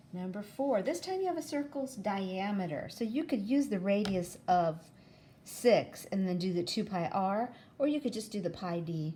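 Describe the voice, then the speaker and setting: The tone is dark and mellow, somewhat breathy, with very wide pitch swings. The pace is moderate. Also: woman, medium pitch for a woman. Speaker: math teacher. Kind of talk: tutorial.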